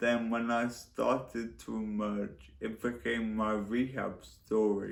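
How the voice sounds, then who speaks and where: Speaking very slowly at a medium pitch, a man's voice carries audible room echo. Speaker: former hospital patient. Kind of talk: speech.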